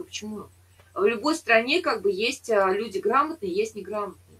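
Her pitch swinging very widely, a woman talks at a medium speed. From Saint Petersburg, Russia. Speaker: chat roulette partner. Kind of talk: casual debate chat. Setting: video call. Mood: argumentative, opinionated. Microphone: video call.

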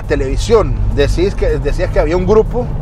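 There is noticeable background noise as a man speaks in a dry sound with no echo. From Honduras. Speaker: TV interview host. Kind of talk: interview conversation. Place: car. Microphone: lapel.

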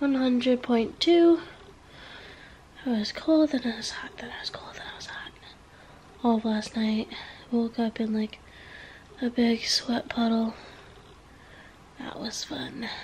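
A woman with a high voice speaks at a fairly slow pace, taking long, frequent pauses. Her loudness swings widely, and light noise sits in the background. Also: ordinary pitch variation. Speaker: vlogger. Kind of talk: casual vlog chat. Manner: weak, congested sick voice, low energy. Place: home room. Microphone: phone near.

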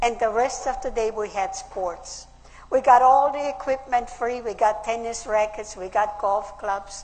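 Speaking at a fairly slow pace in an Austrian accent, a woman uses a fairly high pitch and ordinary pitch variation. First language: German. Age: 80s+. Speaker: WW2 survivor. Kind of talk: conference speech. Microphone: podium.

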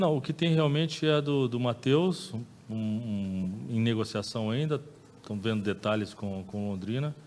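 Over light background noise, a man with an unremarkable speaking voice talks with lively intonation. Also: medium pitch for a man, fairly slow pace. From Brazil. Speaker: football club director. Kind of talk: press conference. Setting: press room. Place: meeting room. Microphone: podium.

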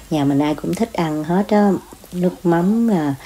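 A woman with a plain, everyday voice, ordinary pitch variation and a moderate pace, over light background noise. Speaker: home cook vlogger. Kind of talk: cooking tutorial chat. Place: kitchen. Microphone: phone near.

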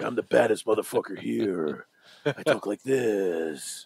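A man puts on a character voice, pitched fairly low. He delivers it at a fairly slow pace. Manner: tough, gruff.

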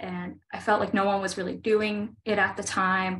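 The woman's delivery comes at a fairly slow pace. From Pittsburgh, Pennsylvania. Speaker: oil painter. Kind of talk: artist talk; artist talk presentation. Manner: halting, many fillers. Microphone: video call.

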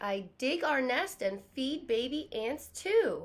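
A woman puts on a character voice with a high pitch. She speaks at a slow pace with big pitch swings.

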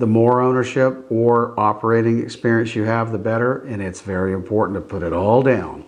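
This man's pitch is fairly low and his pace fairly quick. His intonation stays fairly even.

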